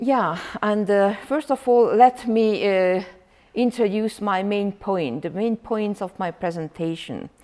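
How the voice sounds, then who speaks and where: Very slowly, a woman with a Hungarian accent speaks at a medium pitch, her tone dark and mellow and her pitch varying in an ordinary way. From Hungary. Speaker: professor. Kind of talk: lecture. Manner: loud; halting, many fillers.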